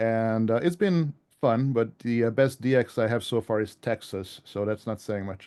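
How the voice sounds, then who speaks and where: This man has a dark, mellow tone and a slight European accent, and he talks at a moderate pace. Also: medium pitch for a man, ordinary pitch variation, quiet background. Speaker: ham radio author. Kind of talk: club presentation. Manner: hesitant, many fillers.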